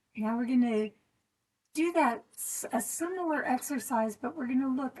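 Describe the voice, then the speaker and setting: A woman speaks at a fairly slow pace in a high, gentle voice with lively intonation. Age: 60s. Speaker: yoga instructor. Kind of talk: guided exercise class. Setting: outdoors on a deck.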